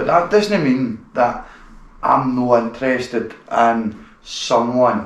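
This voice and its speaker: Noticeable background noise runs through the clip, and room echo can be heard. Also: man. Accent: strong Glaswegian. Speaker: podcast host, gun dog enthusiast. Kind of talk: casual interview.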